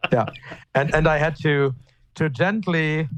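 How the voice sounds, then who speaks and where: A man at a very slow pace, fairly high pitch with ordinary pitch variation. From Germany. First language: German. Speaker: pastor. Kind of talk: casual chat. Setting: remote call, audio only. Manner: halting, repeats words.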